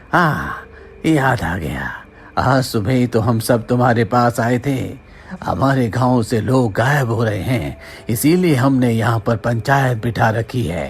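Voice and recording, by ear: A man's cartoonish character voice at medium pitch and moderate pace, with clear background noise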